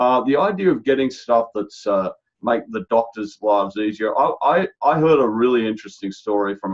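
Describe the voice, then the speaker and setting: Talking fairly quickly with an Australian accent, a man keeps a medium pitch and ordinary pitch variation. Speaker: healthcare strategy executive. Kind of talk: podcast interview. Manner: animated; halting.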